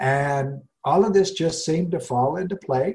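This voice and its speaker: With an American accent, a man's voice comes across dark, mellow and somewhat breathy. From US Rocky Mountains. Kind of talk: interview.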